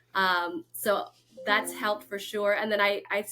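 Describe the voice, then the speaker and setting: Speaking fairly slowly with a Lao accent, the woman has a bright, sharp tone. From Florida and North Carolina, US. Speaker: real estate agent. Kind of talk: interview.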